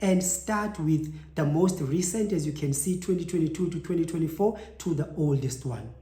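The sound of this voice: At a moderate pace, a man speaks in a fairly high voice with a dark, mellow tone and ordinary pitch variation.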